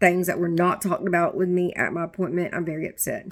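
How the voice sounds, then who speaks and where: Speaking at a fairly quick pace, a woman with a fairly low pitch comes through on a very clean recording with a silent background. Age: 30s. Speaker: vlogger sharing health journey. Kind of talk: personal video diary. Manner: halting, stumbling over words.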